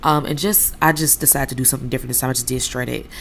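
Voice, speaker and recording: Very fast speech from a woman with a very deep, low pitch and vocal fry. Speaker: cooking video creator. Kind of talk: cooking tutorial. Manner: casual, chatty; stumbling, filler-heavy.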